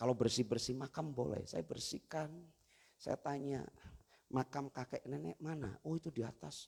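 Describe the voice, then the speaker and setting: Speaking at a moderate pace, a man with a medium-pitched, somewhat breathy voice uses lively intonation and an animated tone. The recording is dry and close, without echo. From Banyumas, Central Java, Indonesia. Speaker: pastor. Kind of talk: sermon.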